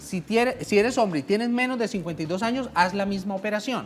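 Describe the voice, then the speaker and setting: Very wide pitch swings mark this woman's voice. She talks at a very fast pace. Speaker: pension lawyer. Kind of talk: radio legal advice segment.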